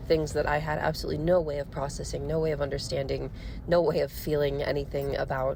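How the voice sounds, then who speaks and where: Talking at a very fast pace, a woman with an American accent is heard over noticeable background noise and audible room echo. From US Midwest, Missouri. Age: 20s. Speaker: podcaster. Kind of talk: casual monologue. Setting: in a car. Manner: rambling, hesitant with fillers.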